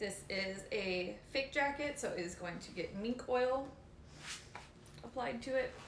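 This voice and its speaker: Loud and high-pitched, a woman talks at a fairly slow pace with lively intonation and long, frequent pauses, over noticeable background noise and audible room echo. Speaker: leather care streamer. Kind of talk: casual live stream chat while working. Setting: live stream from home. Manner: soft-spoken when absorbed in work; normally loud.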